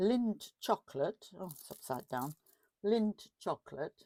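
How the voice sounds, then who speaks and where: A woman with a German accent is heard in a dry, close sound with no echo. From Germany. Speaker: craft YouTuber. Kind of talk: crafting tutorial chat. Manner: casual, with fillers.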